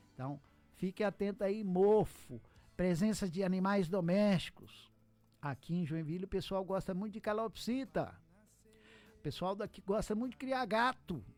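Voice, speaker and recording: A man with a high-pitched voice speaks at a moderate pace with ordinary pitch variation. He pauses long and often, with music playing in the background. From Minas Gerais, Brazil (Montes Claros). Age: 60s. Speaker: pulmonologist doctor. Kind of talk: radio interview. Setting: radio studio.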